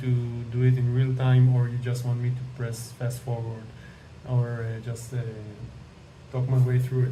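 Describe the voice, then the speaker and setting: A man with a non-native accent speaks at medium pitch. Noticeable background noise and audible room echo fill the recording. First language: not English. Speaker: AI image generation tutorial creator. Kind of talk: tutorial. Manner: hesitant, many fillers.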